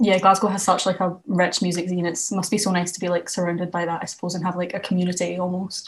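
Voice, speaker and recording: A woman with a Scottish accent speaks at a very fast pace with hardly any pauses. Her medium-pitched voice stays monotone and flat. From west of Scotland. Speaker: student radio presenter. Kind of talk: casual radio show presenting.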